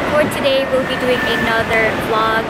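Loud background noise surrounds a woman's voice, which sounds dry with no echo. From Philippines. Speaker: lifestyle vlogger. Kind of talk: casual vlog narration. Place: street. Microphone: phone near.

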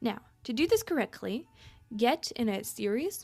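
A woman's intonation is lively. Music can be heard in the background. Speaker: podcast host. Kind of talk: narrated podcast explanation.

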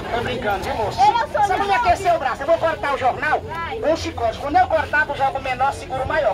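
The speaker goes at a fairly quick pace while crowd noise carries on in the background. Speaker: street comedian. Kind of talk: street comedy banter with audience. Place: street. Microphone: handheld.

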